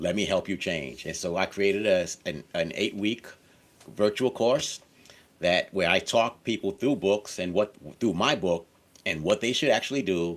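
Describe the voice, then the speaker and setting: A man's fairly low voice with ordinary pitch variation, a normal speaking voice at a moderate pace, on a very clean recording with a silent background. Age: 60s. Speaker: author and course creator. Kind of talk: interview.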